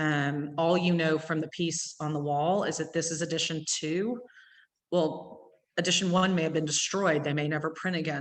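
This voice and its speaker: A woman's very deep, low voice with an East Texas accent and monotone, flat intonation. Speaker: gallery owner. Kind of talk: gallery talk. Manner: fast.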